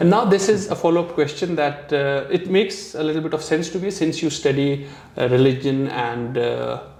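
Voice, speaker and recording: At a fairly quick pace and with ordinary pitch variation, the voice comes through noticeable background noise and audible room echo. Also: man, fairly high pitch for a man. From India. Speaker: YouTube vlogger and interviewer. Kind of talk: interview.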